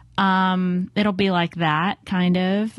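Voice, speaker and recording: Against a quiet background, a woman talks at a medium pitch. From US, Southern California (Los Angeles). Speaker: design strategist and author. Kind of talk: interview conversation.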